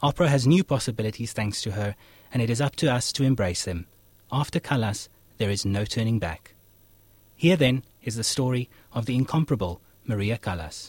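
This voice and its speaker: A man's somewhat breathy, medium-pitched voice at a fairly quick pace, with lively intonation and long, frequent pauses, in a very clean recording with a silent background. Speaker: radio host. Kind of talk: scripted narration. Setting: studio.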